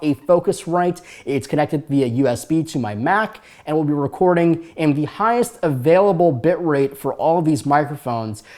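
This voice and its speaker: A man with an ordinary speaking voice speaks at a moderate pace, his pitch fairly high and its variation ordinary. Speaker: YouTube tech reviewer. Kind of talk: product review. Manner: casual, with many fillers.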